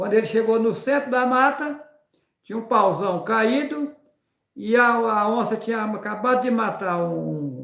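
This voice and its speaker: Amid audible room echo, a man with a high pitch speaks at a fairly slow pace with lively intonation. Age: 60s. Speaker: religious preacher and rancher. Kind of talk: live religious talk.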